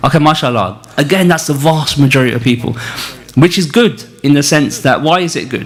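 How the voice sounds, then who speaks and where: A man with a northern English accent, fairly high pitch and ordinary pitch variation at a fairly quick pace, amid noticeable background noise and audible room echo. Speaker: spiritual teacher leading a retreat. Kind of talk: religious lecture. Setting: retreat hall with live audience, also streamed on video call. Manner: halting, many fillers.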